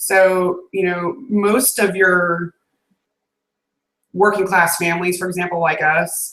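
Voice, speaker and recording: A woman's medium-pitched voice with an American accent, monotone and flat, at a very slow pace with long, frequent pauses. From US South. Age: 40s. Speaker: video podcast host. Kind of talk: casual chat. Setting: video call.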